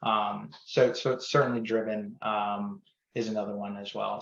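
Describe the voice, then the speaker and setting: Loud and fairly low-pitched, a man talks with fairly even intonation. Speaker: company founder and CEO. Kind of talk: podcast interview. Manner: loud and outgoing; halting, many repeated words and fillers.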